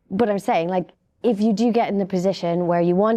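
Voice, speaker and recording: This woman speaks with a British accent at a fairly quick pace. Her medium-pitched voice has a dark, mellow tone against a quiet background. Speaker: cybersecurity panelist. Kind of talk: panel discussion. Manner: soft-spoken.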